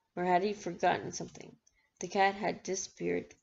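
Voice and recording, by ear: The background is quiet while the text is read aloud in a natural voice.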